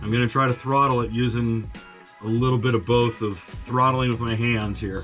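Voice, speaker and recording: The intonation stays fairly even, and the pace is fairly quick. Faint music plays in the background. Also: man. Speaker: mechanic host. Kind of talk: casual tutorial commentary. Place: garage. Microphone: camera far.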